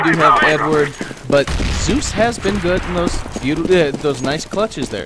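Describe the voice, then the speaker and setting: A man with a fairly high pitch talks at a fairly slow pace over noticeable background noise. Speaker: esports caster (first attempt at commentary). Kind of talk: esports match commentary.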